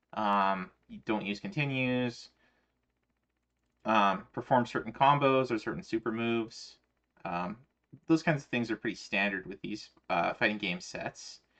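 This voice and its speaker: The voice has a bright, sharp tone and an American accent at a moderate pace. The background is quiet. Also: man. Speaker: streamer. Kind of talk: casual chat.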